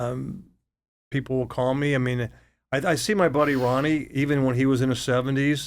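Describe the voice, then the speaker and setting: A man speaks with fairly even intonation. His voice sits at a medium pitch. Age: 60s. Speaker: real estate broker. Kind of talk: interview. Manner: halting, many repeated words.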